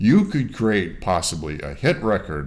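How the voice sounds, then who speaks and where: The speaker has an American accent. There is audible room echo. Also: man. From US Northeast, Rochester, New York. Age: 60s. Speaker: mastering engineer. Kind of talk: interview. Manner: halting, many fillers.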